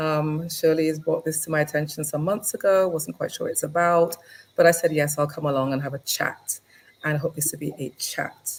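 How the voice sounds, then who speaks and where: A woman with an English accent talks at a fairly quick pace in a very deep, low pitch. Her voice is somewhat breathy, and her intonation stays fairly even. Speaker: lawyer. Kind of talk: interview. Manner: halting.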